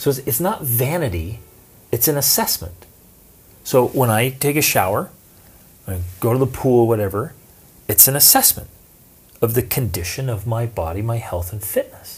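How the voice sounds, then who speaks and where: At a moderate pace, the somewhat breathy voice moves with lively intonation between long, frequent pauses. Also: man, medium pitch for a man. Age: 40s. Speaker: podcast co-host, teaches online class for teens. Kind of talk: casual chat.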